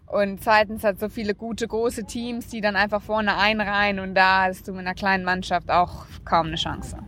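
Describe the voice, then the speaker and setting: A woman at medium pitch with monotone, flat intonation, a moderate pace and hardly any pauses, amid noticeable background noise. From Namibia. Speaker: professional cyclist. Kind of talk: interview.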